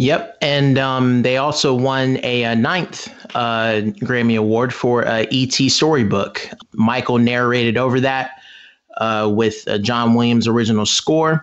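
A man has a plain, everyday voice at medium pitch. He speaks at a fairly slow pace with very even loudness. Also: fairly even intonation. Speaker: fan and dancer guest. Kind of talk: casual roundtable discussion.

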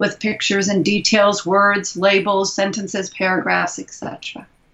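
Noticeable background noise runs under a woman's medium-pitched voice. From US Midwest (Indianapolis, Indiana). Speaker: education consultant and author. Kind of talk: interview.

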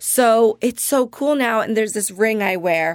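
A plain, everyday voice, a woman with an American accent speaks at medium pitch with ordinary pitch variation, the recording very clean with a silent background and a dry, close sound with no echo. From New Jersey, Jersey Shore. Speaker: actress and comedian. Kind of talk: casual chat.

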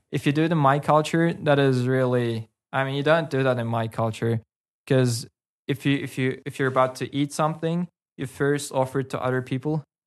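Against a quiet background, a man talks at a fairly quick pace. His pitch is medium and his intonation fairly even. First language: Karachay. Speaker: local guest. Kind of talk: casual chat.

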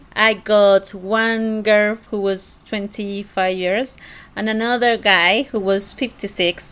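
A very slow, monotone, flat delivery in a Spanish accent. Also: woman, medium pitch for a woman. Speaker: host's fiancée. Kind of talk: casual conversation.

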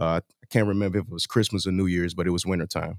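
Recorded very cleanly against a silent background, a man with a fairly low pitch speaks in a dry, close sound with no echo. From St. Louis, Missouri. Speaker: rapper. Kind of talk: interview.

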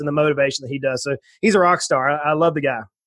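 In a Southern US accent, a man speaks with a bright, sharp tone. His pitch is fairly high, with ordinary variation. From US South, south Georgia. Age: 40s. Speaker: financial planner and entrepreneur. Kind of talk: interview. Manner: animated.

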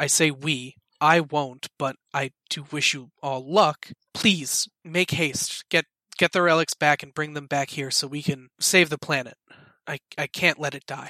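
A man uses a put-on character voice with a fairly high pitch. He speaks at a fairly slow pace in a very clean recording with a silent background. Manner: grave, earnest, dry.

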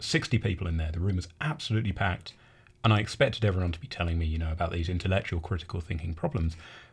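A man with an English accent talks at a very fast pace in a very deep, low, somewhat breathy voice with ordinary pitch variation. The recording is very clean, with a silent background. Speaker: university academic skills coordinator. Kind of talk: interview. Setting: radio studio.

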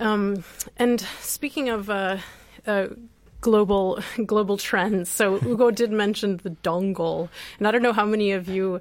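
A woman's normal speaking voice with an American accent, medium pitch, fairly even intonation and a fairly slow pace, in a very clean recording with a silent background. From US Midwest. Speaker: radio host, co-founder of a repair project. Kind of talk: radio talk show, casual chat. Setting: radio studio.

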